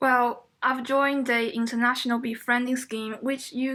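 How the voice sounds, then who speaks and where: Her tone is bright and sharp, with a high pitch and monotone, flat intonation. The woman has a Chinese accent. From China. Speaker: international student. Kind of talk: student podcast conversation.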